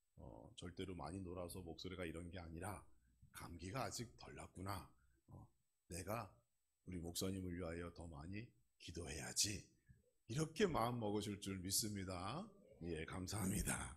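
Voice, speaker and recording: At a moderate pace, a man with a very deep, low pitch speaks in a somewhat breathy voice with ordinary pitch variation, big swings in loudness, long, frequent pauses and audible room echo. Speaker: pastor. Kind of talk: sermon. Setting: church.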